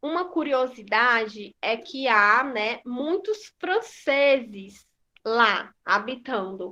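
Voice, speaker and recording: A woman's high, raised, projected voice, bright and sharp in tone, with very wide pitch swings. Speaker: school teacher. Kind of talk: online class lesson.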